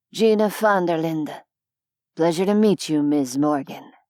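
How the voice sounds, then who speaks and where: A put-on character voice from a woman, raspy and fairly low-pitched, with ordinary pitch variation at a moderate pace. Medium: read story. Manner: dry, blunt.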